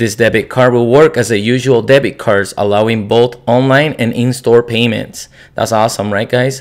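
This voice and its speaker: With monotone, flat intonation, a man speaks at a moderate pace in a non-native accent. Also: medium pitch for a man. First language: not English. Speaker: crypto YouTuber. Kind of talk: explainer video. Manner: halting.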